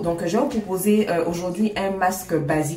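With music in the background and audible room echo, a woman speaks at a moderate pace in a fairly low pitch with fairly even intonation. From Ivory Coast. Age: 30s. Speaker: skincare YouTuber. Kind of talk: casual talk to camera. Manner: warm, friendly.

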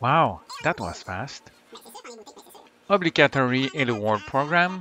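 Over noticeable background noise, a man with a non-native accent speaks at a very slow pace with very wide pitch swings. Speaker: retro computer hobbyist. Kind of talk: hobby tech voice-over.

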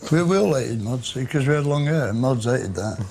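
Light background noise sits behind a man. His pace is moderate and his pitch variation ordinary. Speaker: interviewee. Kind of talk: interview answer. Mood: gruff, sardonic, humorous. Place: bar.

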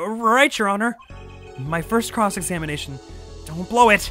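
Using a put-on character voice, a woman sounds strained and raspy at a medium pitch and moderate pace, with music in the background. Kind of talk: reading game dialogue aloud.

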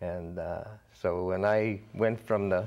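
This man's voice sits fairly low in pitch. He speaks in a monotone with flat intonation against a quiet background. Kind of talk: interview answer. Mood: calm reminiscing. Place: studio. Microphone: lapel.

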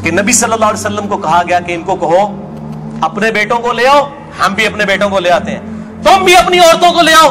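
Amid noticeable background noise, a man with a high pitch uses a raised, projected voice with very wide pitch swings. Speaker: Islamic lecturer and preacher; Islamic lecturer, preacher. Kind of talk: religious lecture. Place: studio.

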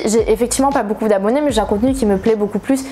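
A woman's fairly high voice with ordinary pitch variation over light background noise. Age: 20s. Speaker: manga YouTuber; manga youtuber. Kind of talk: casual vlog chat. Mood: encouraging, earnest. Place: home room.

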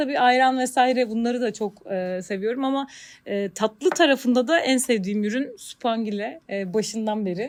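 With an unremarkable speaking voice, a woman at a fairly high pitch keeps a moderate pace, her pitch varying in an ordinary way. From Turkey, Bandırma. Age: 40s. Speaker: marketing manager. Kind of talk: interview.

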